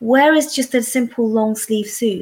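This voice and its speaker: The voice is somewhat breathy, with a London accent. Its pitch variation is ordinary. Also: woman. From South London. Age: 40s. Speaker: secondary school teacher. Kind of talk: interview.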